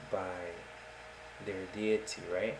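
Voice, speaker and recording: The speaker is soft-spoken. There is noticeable background noise and audible room echo. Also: man. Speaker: atheist video blogger. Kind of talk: casual monologue. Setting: home recording in a dark room. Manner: hesitant.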